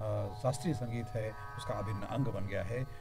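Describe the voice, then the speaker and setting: With music playing in the background, the intonation stays fairly even. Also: man. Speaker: radio host. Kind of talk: radio programme host introduction.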